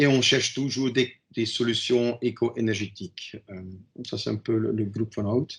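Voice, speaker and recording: Somewhat breathy and medium in pitch, a man with a non-native accent talks at a moderate pace with fairly even intonation. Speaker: company manager, presenter. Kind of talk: webinar presentation. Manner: halting.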